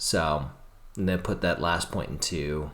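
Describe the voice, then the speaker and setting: This man has vocal fry. He talks at a fairly slow pace. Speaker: gaming YouTuber. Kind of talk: let's play commentary. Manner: halting; casual.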